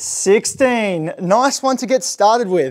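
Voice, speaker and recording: Over a quiet background, a man is talking. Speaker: fitness instructor. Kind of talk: workout class instruction and counting. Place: gym.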